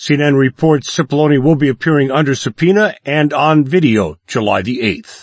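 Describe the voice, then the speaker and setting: A man speaks with a plain, everyday voice. His pitch is fairly high, with ordinary variation, at a moderate pace. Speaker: radio news anchor. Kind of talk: brisk daily radio newscast, read from script. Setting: studio. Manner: crisp, measured newsreader cadence; neutral, formal delivery.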